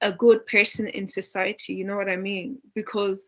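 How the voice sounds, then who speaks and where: A woman speaks with a strong Dublin accent. Her pace is moderate and her intonation fairly even. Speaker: panelist. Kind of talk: panel discussion.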